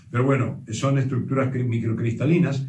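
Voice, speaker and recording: A man at a fairly quick pace, with fairly even intonation and audible room echo. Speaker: presenter. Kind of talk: explanatory talk. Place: home room. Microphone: camera far.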